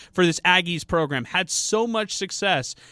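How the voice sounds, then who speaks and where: A man's raised, projected voice, bright and sharp in tone, with lively intonation, in a dry, close sound with no echo and a very clean recording over a silent background. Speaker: radio sports co-host. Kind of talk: casual sports talk radio. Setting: radio studio. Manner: upbeat, enthusiastic.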